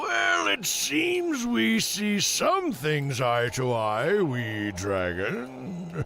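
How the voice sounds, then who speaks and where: A man puts on a cartoonish character voice at a medium pitch and a very slow pace. Clear background noise runs behind him. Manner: gloating, contemptuous, chuckling.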